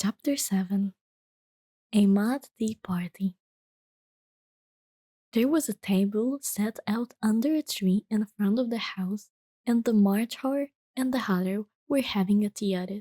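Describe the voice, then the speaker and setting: Whispering and soft-spoken, a woman uses a gentle, somewhat breathy tone at a fairly slow pace with long, frequent pauses, in a dry, close sound with no echo. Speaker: VTuber and ASMR reader. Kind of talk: soft-spoken ASMR bedtime story reading. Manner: soft-spoken, gentle, whispery.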